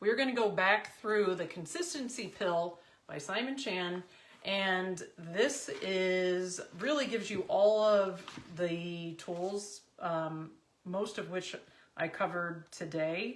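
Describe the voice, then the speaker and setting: Amid audible room echo, a woman with a medium pitch and ordinary pitch variation speaks at a very slow pace. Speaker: confidence and business coach. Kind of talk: team coaching talk.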